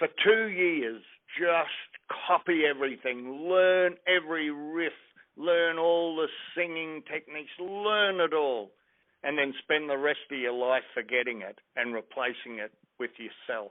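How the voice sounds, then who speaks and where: A man with an Australian accent speaks at a fairly slow pace. His voice is fairly high, with ordinary pitch variation. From Australia, Brisbane. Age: 70s. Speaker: blues musician. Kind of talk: interview.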